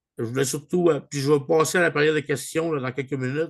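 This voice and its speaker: A man speaks at a fairly high pitch with fairly even intonation against a quiet background. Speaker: online group leader. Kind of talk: video call meeting. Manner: hesitant, many fillers; mixes English words into French.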